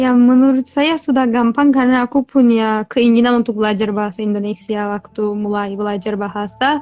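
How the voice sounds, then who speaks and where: A woman speaks at a fairly quick pace. Her fairly high pitch stays fairly even. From Turkey (Kurdish). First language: Kurdish or Turkish (speaking Indonesian). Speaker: language tutor. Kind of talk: interview.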